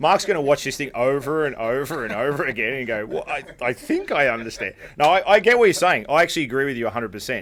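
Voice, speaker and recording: In an Australian accent, a man talks at a very fast pace with an animated tone and fairly high pitch. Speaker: podcast host, restaurateur. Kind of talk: casual chat.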